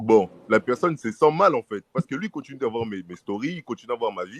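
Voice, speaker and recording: A man speaks at medium pitch and a moderate pace with lively intonation. The sound is dry and close, with no echo. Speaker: discussion panelist. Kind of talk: casual chat.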